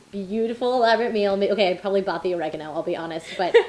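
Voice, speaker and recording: Amid noticeable background noise, a woman with an American accent speaks at a very fast pace. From South Florida. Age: 20s. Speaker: PhD student. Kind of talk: interview.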